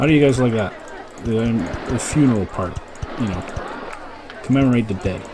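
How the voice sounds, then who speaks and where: A man at medium pitch with ordinary pitch variation, a fairly quick pace and long, frequent pauses, amid noticeable background noise and audible room echo. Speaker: gaming YouTuber. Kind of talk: casual gameplay commentary.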